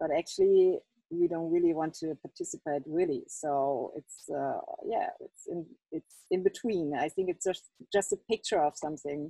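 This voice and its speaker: At a moderate pace, a woman talks with a non-native accent. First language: not English. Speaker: exhibiting artist. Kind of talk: Q&A at online exhibition opening. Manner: halting.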